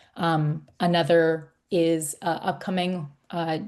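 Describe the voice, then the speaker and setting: The woman has a normal speaking voice, fairly low in pitch. Her intonation stays fairly even. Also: quiet background. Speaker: climate program staff presenter. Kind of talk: webinar presentation.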